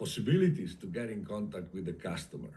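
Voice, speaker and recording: Man's somewhat breathy voice, dark and mellow in tone, with very wide pitch swings and audible room echo. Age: 60s. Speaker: industrial sales consultant. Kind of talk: interview. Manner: halting, with many fillers.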